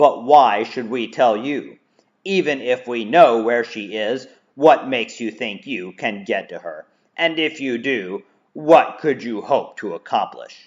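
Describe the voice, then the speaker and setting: Fairly slow, medium-pitched put-on character voice from a man. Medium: read story. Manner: cool, cutting.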